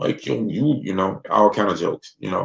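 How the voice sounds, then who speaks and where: A man talks at a fairly quick pace with a Mississippi accent. His tone is relaxed. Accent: Southern US, Mississippi country. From US South, Mississippi. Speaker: livestream host. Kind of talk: casual livestream chat. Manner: relaxed, conversational.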